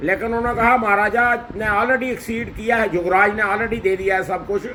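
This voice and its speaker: Fairly even intonation from a man with a high pitch. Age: 60s. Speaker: social commentator. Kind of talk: condolence address.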